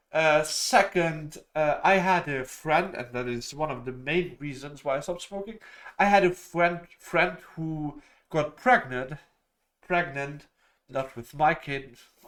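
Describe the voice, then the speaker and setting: A man's fairly high voice with a non-native accent, ordinary pitch variation and big swings in loudness. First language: not English. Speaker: YouTuber. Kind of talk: casual monologue. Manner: halting, many fillers.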